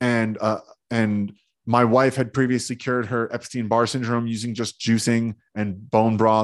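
Against a quiet background, a man with an American accent uses a normal speaking voice at a medium pitch and a moderate pace. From New Jersey. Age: 30s. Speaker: self-healing teacher and entrepreneur. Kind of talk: interview.

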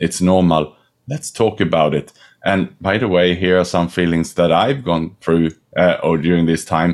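A man with a very deep, low pitch talks at a moderate pace, using ordinary pitch variation. The recording is very clean and the background silent. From Sweden. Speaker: executive network co-founder. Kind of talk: interview.

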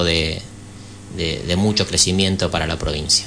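A man's very deep, low pitch against noticeable background noise. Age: 50s. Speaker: former national legislator, party politician. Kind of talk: radio interview. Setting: radio studio.

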